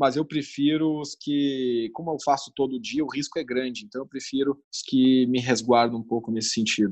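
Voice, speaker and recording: A man talks at a fairly slow pace with fairly even intonation. His pitch is medium, and the background is quiet. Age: 20s. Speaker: newspaper operations director. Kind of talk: interview. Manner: halting.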